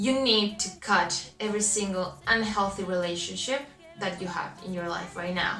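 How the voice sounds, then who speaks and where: A woman with a Chilean Spanish accent talks at a moderate pace, medium in pitch with ordinary pitch variation. Noticeable background noise and audible room echo are present. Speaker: self-help youtuber. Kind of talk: motivational vlog talk. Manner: halting.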